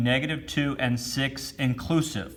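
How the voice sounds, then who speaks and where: With an audible room echo, a man speaks at a moderate pace in a somewhat breathy voice with fairly even intonation. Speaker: math teacher. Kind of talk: lecture.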